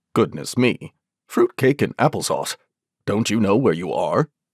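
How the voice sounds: At an extremely low pitch with big pitch swings and a slightly mellow tone, a woman performs a put-on character voice at a fairly slow pace, in a dry, close sound with no echo and a very clean recording with a silent background.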